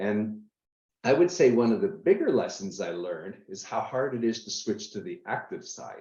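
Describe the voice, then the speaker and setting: A man at medium pitch with very wide pitch swings, big swings in loudness, and a moderate pace. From Canada, Niagara Falls. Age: 60s. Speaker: real estate investor. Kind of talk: interview. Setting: live stream.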